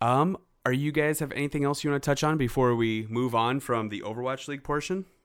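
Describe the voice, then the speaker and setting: A man speaks at a very fast pace in a playful tone, his pitch varying in an ordinary way. The recording is very clean, with a silent background. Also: medium pitch for a man. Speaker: podcast host. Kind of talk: casual banter podcast chat. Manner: joking, playful.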